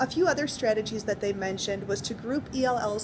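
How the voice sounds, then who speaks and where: A woman talks fairly quickly at a fairly high pitch with ordinary pitch variation. Background noise can be clearly heard. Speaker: teacher. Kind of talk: spoken assignment summary. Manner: fast; hesitant with many fillers.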